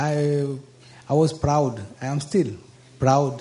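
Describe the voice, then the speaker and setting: The voice is somewhat breathy and dark, mellow in tone, with fairly even intonation. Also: man. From Mauritius. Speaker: audience member. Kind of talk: question at a Q&A session.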